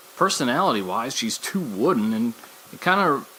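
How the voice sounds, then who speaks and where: Moderate-paced speech comes through noticeable background noise. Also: man. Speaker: wrestling podcast host. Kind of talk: solo podcast commentary. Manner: animated.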